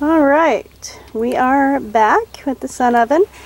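Noticeable background noise surrounds a woman's voice. The sound is dry with no echo, and her pitch varies in an ordinary way. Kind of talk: casual cooking vlog. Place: garden. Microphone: phone near.

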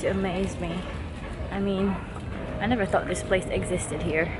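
Behind a woman talking at a moderate pace, clear music can be heard. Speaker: vlogger. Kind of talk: casual vlog chat. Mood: amused, playful. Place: waterside. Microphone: phone near.

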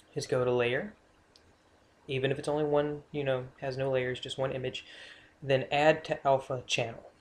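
This man has a fairly high pitch and a somewhat breathy voice, talking at a moderate pace. His intonation is flat and monotone, broken by long, frequent pauses. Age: young. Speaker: tutorial maker. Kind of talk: casual screen-recorded tutorial narration. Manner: hesitant, casual.

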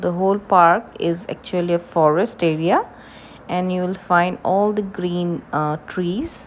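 Over light background noise, a woman with a fairly low voice speaks at a very slow pace in a fairly even intonation. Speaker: travel vlogger. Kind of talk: casual vlog narration.

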